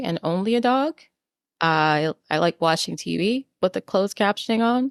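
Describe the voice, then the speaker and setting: With an American accent, a woman in an ordinary speaking voice talks at a moderate pace and medium pitch with lively intonation, the sound dry and close with no echo on a very clean recording with a silent background. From New York City. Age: 40s. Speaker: podcast co-host. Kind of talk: casual chat.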